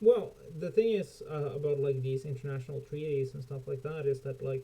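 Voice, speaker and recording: At a fairly quick pace, a man speaks with a dark, mellow, somewhat breathy tone, a fairly high pitch and ordinary pitch variation. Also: big swings in loudness. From Norway. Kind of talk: casual chat.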